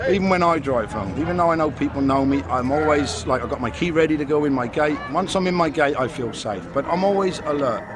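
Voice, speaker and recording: Over noticeable background noise and audible room echo, a man speaks at a very fast pace with lively intonation and fairly high pitch. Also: hardly any pauses. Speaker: doorman. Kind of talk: casual interview.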